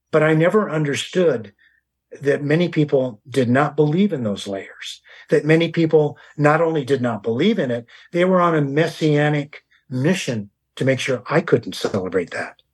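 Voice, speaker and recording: A man with an American accent, somewhat breathy, with lively intonation. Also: fairly high pitch for a man, moderate pace. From US West Coast, San Diego County. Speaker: author and historian. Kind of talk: interview.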